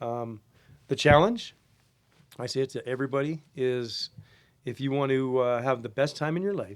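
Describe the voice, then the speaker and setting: With a Canadian accent, a man talks at a medium pitch with ordinary pitch variation and long, frequent pauses. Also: moderate pace. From Canada. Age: 60s. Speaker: golf caddy. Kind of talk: casual chat. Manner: halting, many fillers.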